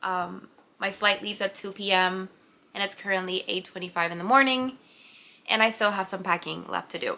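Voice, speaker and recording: In a very clean recording with a silent background, a woman talks fairly quickly at a medium pitch, her tone bright and sharp and her intonation fairly even. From Puerto Rico. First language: Spanish. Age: 20s. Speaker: vlogger, pharmacist and artist. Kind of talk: casual vlog introduction. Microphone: new camera audio being tested.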